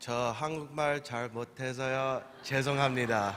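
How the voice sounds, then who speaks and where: Over crowd noise in the background, a man with an American accent speaks at a very slow pace. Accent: American English; weak, hesitant Korean. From USA, Korean-American. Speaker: preacher. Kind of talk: sermon with interpreter. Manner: halting in Korean.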